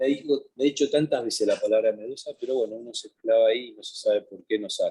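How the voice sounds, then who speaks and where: A man talking at a very fast pace with hardly any pauses and big swings in loudness. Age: 60s. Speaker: painter. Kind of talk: interview. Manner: halting, many repetitions.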